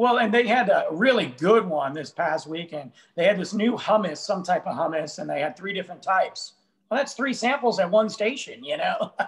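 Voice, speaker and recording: Speaking at a moderate pace, a man with a high voice lets his pitch swing very widely. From Italian-American. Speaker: author and humorist; co-host. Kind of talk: casual chat. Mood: joking, humorous storytelling. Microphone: video call.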